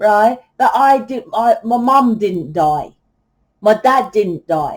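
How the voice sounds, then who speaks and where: A woman speaks loudly at a fairly high pitch. Her voice makes very wide pitch swings. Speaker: tarot reader. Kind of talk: tarot reading monologue. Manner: animated.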